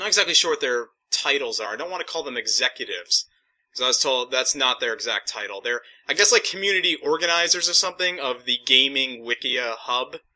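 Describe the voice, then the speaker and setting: A man's fairly high, bright, sharp voice at a very fast pace, full of lively intonation. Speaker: gaming vlogger. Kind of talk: casual monologue. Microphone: cheap USB mic, poor sound quality.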